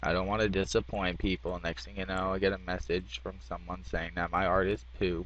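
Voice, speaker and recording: With lively intonation and vocal fry, a man speaks at a fairly quick pace in a very deep, low pitch. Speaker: graphic design tutorial maker. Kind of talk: tutorial. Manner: halting, many fillers.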